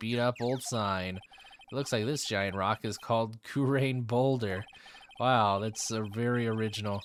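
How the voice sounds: The speaker reads in a natural reading voice.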